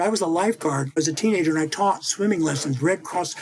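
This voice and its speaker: This man speaks with an American accent. There is noticeable background noise. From US Midwest, central Missouri. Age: 60s. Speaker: image consultant and author. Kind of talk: interview. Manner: animated, conversational.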